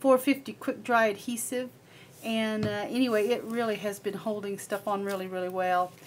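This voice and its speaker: Amid light background noise, a woman speaks at a moderate pace with fairly even intonation. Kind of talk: casual show-and-tell narration. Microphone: camera far.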